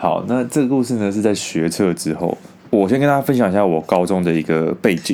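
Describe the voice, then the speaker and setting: A man with a Taiwanese accent talks at a fairly quick pace and fairly low pitch, his lively intonation paired with very even loudness. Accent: Taiwanese Mandarin. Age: 20s. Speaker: podcaster. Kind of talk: storytelling monologue.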